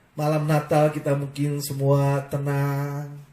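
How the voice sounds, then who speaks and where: A man's voice at a very slow pace, with audible room echo. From Indonesia, Ambon (Maluku). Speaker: pastor. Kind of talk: sermon. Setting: online live broadcast.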